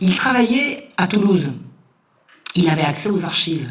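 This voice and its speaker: A woman talks in an animated tone at a medium pitch, with very wide pitch swings. Her moderate pace comes through with audible room echo. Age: 60s. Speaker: historian and lecturer. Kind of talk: lecture. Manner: animated, emphatic repetitions.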